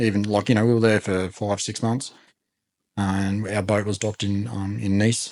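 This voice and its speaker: A man speaks with an Australian accent at a moderate pace. His intonation is fairly even. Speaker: podcast host. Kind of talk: casual chat. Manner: monotone.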